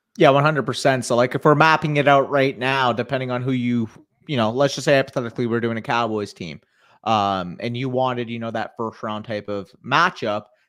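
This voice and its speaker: In a very clean recording with a silent background, a man with a Southern Ontario accent talks at a fairly quick pace, his medium pitch showing ordinary variation. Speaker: fantasy football podcast co-host. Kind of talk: casual livestream chat.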